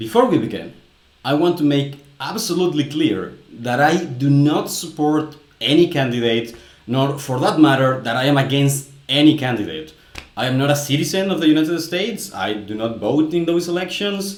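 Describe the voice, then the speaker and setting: Speaking with a Spanish accent, a man uses a fairly high pitch and a moderate pace, with audible room echo and noticeable background noise. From Mexico. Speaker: language commentator, video creator. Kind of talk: commentary.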